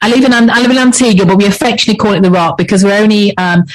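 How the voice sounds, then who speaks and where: A woman with an English accent speaks at a very fast pace, her somewhat breathy voice at a medium pitch with ordinary pitch variation. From England. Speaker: leadership coach. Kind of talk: interview.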